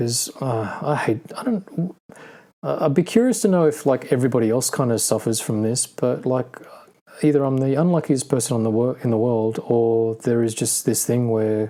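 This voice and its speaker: A man with an Australian accent, medium pitch and a dark, mellow tone at a moderate pace. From Australia (Sydney). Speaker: podcast co-host, car enthusiast. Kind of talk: casual chat. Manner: monotone.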